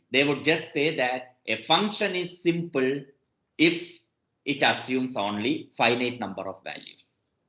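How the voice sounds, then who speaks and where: A man's bright, sharp tone with lively intonation and audible room echo. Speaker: mathematics professor. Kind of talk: lecture. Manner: slow.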